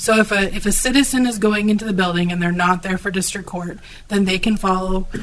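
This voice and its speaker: A woman talks at a very fast pace with fairly even intonation and a medium pitch. Noticeable background noise runs under her voice. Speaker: county official. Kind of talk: meeting discussion. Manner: hesitant, apologetic.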